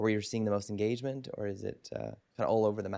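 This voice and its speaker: An enthusiastic man with a fairly low voice and a Canadian accent, on a very clean recording with a silent background. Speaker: podcast host. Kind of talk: interview.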